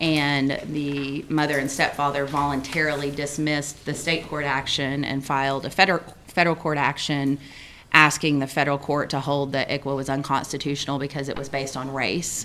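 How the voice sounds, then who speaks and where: Over light background noise, a woman speaks at a fairly quick pace in a very deep, low voice with a bright, sharp tone and monotone, flat intonation. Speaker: attorney giving legal report. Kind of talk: committee report. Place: meeting room. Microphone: podium.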